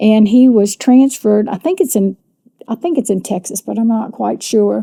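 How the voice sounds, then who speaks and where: Somewhat breathy and fairly high-pitched, this woman's voice has a dark, mellow tone and ordinary pitch variation. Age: 70s. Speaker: retired teacher, podcast panelist. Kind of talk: casual chat.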